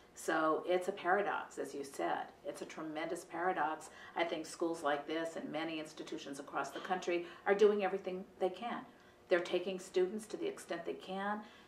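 The pace is fairly quick and the intonation fairly even. Light background noise and audible room echo sit behind the voice. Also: woman. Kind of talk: interview answer. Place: office.

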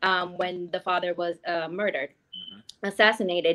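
Over a quiet background, a woman with a New York accent speaks at a moderate pace with fairly even intonation. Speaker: birth worker; guest. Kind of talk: interview. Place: home room. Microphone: video call.

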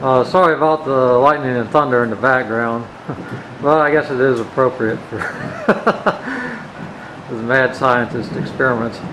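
Over noticeable background noise, a man speaks at a moderate pace with fairly even intonation. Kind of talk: tutorial. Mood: amused, relaxed.

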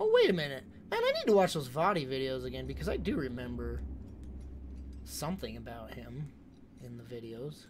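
A man talks at a fairly quick pace with long, frequent pauses and big swings in loudness, over noticeable background noise. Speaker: video game streamer. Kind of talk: live gameplay commentary. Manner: animated. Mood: annoyed, sarcastic. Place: home room. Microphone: studio mic.

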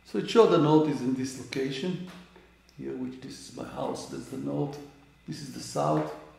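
Audible room echo surrounds a man whose loudness swings widely. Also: moderate pace. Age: 80s+. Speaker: amateur astronomer. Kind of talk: tutorial. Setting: indoors at home. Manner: halting. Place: home room. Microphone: camera far.

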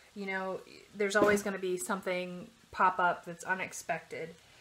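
A woman speaks at moderate speed while light background noise is present. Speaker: home cook vlogger. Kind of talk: casual vlog chat. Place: kitchen. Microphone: phone near.

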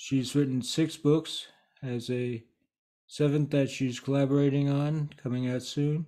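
A man with a dark, mellow tone speaks at a fairly slow pace in a monotone, flat delivery against a quiet background. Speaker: speaking coach. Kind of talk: casual vlog chat. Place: home room. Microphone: webcam.

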